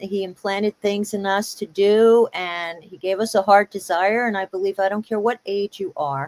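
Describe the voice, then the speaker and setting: Hardly pausing, a woman with a New York accent speaks at a moderate pace and medium pitch with fairly even intonation, the sound dry and close with no echo. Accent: New York area American. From US Northeast, Hudson Valley New York. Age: 60s. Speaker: singer-songwriter. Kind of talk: interview.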